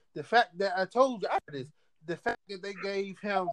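In a Washington DC accent, a high-pitched man speaks in a dry, close sound with no echo. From Washington DC area. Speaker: wrestling podcast co-host. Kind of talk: casual banter about wrestling.

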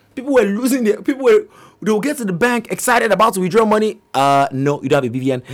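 This man talks very fast in a high pitch, his tone animated and his pitch swinging very widely. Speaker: podcast host. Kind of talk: casual monologue. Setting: studio.

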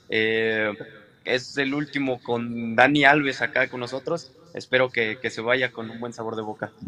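A man talks with fairly even intonation. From Mexico. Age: 20s. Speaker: professional boxer. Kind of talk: interview.

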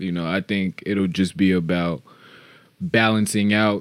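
Spoken at a moderate pace with fairly even intonation, this is a plain, everyday voice with an American accent. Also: man. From Chicago. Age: 20s. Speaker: podcast co-host. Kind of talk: casual chat.

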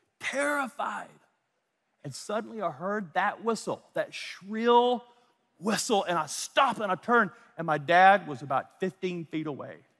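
An animated man with an American accent uses a raised, projected voice, bright and sharp in tone, with very wide pitch swings. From US South, North Louisiana. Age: 50s. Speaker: pastor. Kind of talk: sermon. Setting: church with audience.

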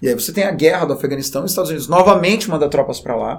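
With lively intonation, a man speaks in an ordinary speaking voice at a fairly high pitch. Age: 30s. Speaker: teacher. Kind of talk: educational podcast chat.

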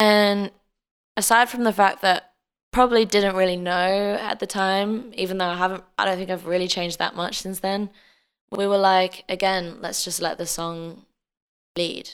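In an Australian accent, a woman speaks at a moderate pace and medium pitch with monotone, flat intonation, on a very clean recording with a silent background. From Australia (Adelaide), born in England until about age ten. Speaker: singer-songwriter. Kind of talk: casual interview.

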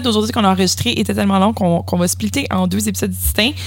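A woman talks at a very fast pace in a Quebec accent. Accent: Québécois French. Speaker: podcast host. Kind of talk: casual chat.

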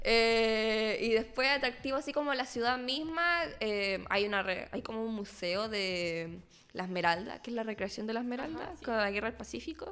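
Here a woman has an ordinary speaking voice, a fairly high pitch, lively intonation and a moderate pace. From northern Chile (Arica, Iquique). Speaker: history student. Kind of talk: casual interview.

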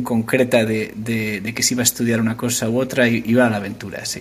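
There is noticeable background noise in this clip. A man speaks over it at a medium pitch. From Asturias, Spain. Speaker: tech startup founder. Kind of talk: interview. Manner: halting, many fillers.

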